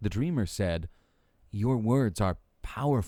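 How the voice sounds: Lively intonation in a natural reading voice.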